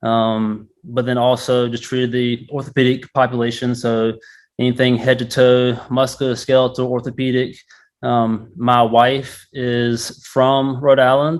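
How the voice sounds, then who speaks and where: With a North Carolina accent, a man speaks at a medium pitch and a moderate pace. His intonation is monotone and flat. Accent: Southern US, North Carolina. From northeast North Carolina, Murfreesboro. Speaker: physical therapist, golf fitness business owner. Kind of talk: interview. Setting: golf learning center. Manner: casual, many fillers.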